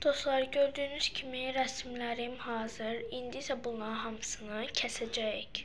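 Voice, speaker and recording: A high-pitched woman's voice with fairly even intonation and hardly any pauses, plus noticeable background noise and audible room echo. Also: fairly slow pace. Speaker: craft video creator. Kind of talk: tutorial.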